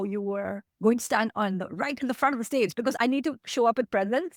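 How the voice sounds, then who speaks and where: With an American accent and a high voice, a woman speaks at a fairly quick pace, with a dry, close sound and no echo. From India. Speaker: tech executive. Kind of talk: interview. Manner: fast.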